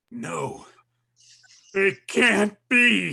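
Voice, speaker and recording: A raspy, raised, projected put-on character voice from a man. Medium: stage play. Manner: heavy, regretful.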